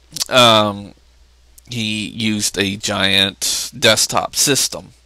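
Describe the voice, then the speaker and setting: Very slow in pace, a man speaks with a bright, sharp tone, a fairly low pitch, and fairly even intonation. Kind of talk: casual talk to camera.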